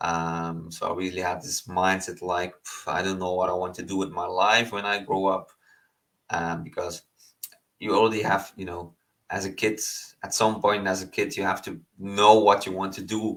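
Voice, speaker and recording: With a non-native accent, a man speaks at a very deep, low pitch with fairly even intonation. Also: moderate pace. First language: not English. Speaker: online business coach. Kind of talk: online lesson. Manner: halting, many fillers.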